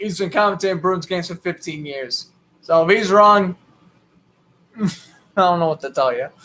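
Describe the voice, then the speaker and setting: At a moderate pace and with long, frequent pauses, a man with a Boston accent talks at a high pitch in a bright, sharp tone with ordinary pitch variation. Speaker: sports commentator. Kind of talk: live play-by-play commentary with casual chat. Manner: casual, chatty.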